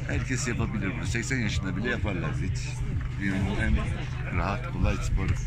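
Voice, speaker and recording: A man at a moderate pace over loud music in the background. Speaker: paragliding pilot. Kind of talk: interview answer. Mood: cheerful, enthusiastic. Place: tent. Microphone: phone near.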